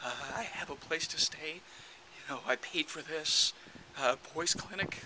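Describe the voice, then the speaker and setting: Noticeable noise sits behind a man who talks fairly slowly. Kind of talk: casual talk to camera.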